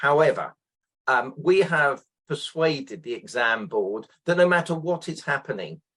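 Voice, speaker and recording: At a fairly slow pace, a man with a British accent talks in a fairly high pitch. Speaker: exam representative and teacher. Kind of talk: interview.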